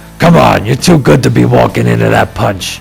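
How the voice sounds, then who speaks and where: A man does a put-on character voice that is raspy, husky, gruff and gravelly, with very even loudness. Clear music plays in the background. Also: moderate pace. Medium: read story. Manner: gravelly and blunt.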